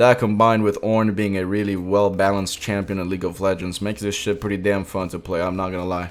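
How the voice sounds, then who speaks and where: At a very fast pace with hardly any pauses, a man speaks in a fairly low, monotone voice with flat intonation. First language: Spanish. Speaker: gaming YouTuber. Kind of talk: gameplay commentary. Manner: casual, comedic storytelling.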